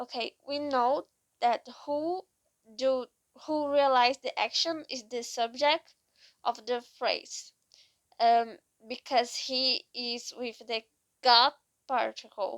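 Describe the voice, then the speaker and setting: In a non-native accent, a woman with a high pitch talks at a very slow pace with fairly even intonation and long, frequent pauses. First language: not English. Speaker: vlogger. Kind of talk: casual monologue. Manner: halting.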